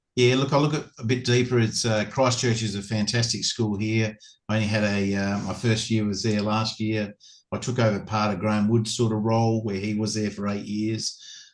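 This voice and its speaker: Speaking in a monotone, flat way at a fairly quick pace, a man with an Australian accent has a fairly low pitch. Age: 60s. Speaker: former cricketer and cricket coach. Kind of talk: casual interview. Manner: halting, many repetitions.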